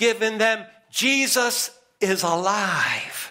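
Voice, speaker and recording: This man speaks with an American accent in a raised, projected voice. His pitch is high, with ordinary variation. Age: 60s. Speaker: preacher. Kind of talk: sermon. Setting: church.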